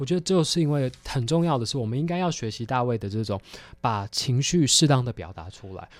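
An unremarkable speaking voice, this man talks at a fairly quick pace and medium pitch with lively intonation and big swings in loudness, on a very clean recording with a silent background. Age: 20s. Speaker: theology student and film commentator. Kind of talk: film discussion interview.

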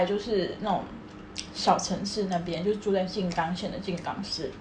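A woman talks at a moderate pace as audible room echo and noticeable background noise surround her voice. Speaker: podcast co-host. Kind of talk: casual chat.

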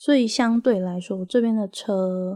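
In a very clean, dry, close recording with a silent background and no echo, a woman speaks with a Taiwanese accent. Her medium-pitched voice has a dark, mellow tone, ordinary pitch variation and a fairly slow pace. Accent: Taiwanese Mandarin. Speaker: podcast host. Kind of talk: casual monologue.

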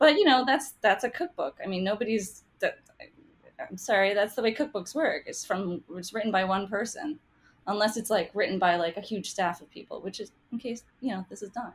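Fairly quick, lively speech from a woman with an American accent, fairly high and somewhat breathy, with big swings in loudness. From US, half Taiwanese. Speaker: cookbook author and food writer. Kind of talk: casual interview chat.

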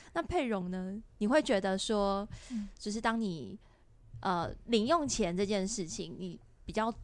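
A plain, everyday voice: a woman at a medium pitch talks fairly slowly with lively intonation. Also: very clean recording, silent background. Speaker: podcast host. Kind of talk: casual interview chat.

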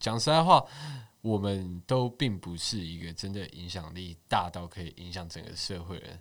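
An ordinary speaking voice with ordinary pitch variation and a moderate pace, captured on a very clean recording with a silent background. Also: man. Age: 20s. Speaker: social media page admin. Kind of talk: casual chat.

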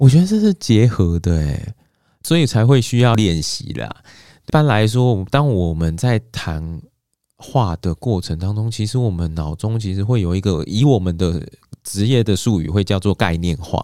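The man's voice is fairly low in pitch, with lively intonation at a moderate pace. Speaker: counseling psychologist. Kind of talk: interview. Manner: gentle, soothing when asking questions.

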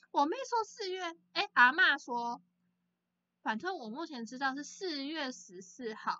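A woman with a high voice speaks fairly slowly, with very wide pitch swings and big swings in loudness. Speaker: podcast co-host. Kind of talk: casual chat. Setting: video call. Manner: frequent laughter.

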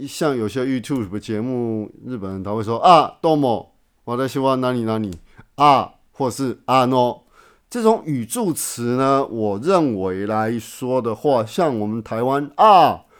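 Fairly slow speech from a man at medium pitch with ordinary pitch variation, on a very clean recording with a silent background. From Taiwan. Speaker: podcast host. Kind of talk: casual monologue. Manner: many filler words; halting, repetitive. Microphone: new microphone.

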